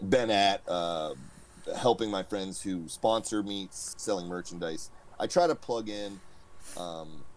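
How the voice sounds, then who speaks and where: A man with a normal speaking voice talks at a fairly slow pace, his intonation lively. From US. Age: 30s. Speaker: powerlifter. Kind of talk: casual interview chat.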